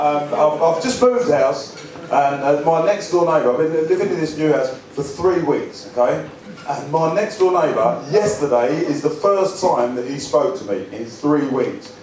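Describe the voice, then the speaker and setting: A man speaks at a moderate pace in a fairly high pitch with lively intonation, over noticeable background noise. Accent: Essex. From England. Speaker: stand-up comedian and after-dinner speaker. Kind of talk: stand-up comedy set to a live audience.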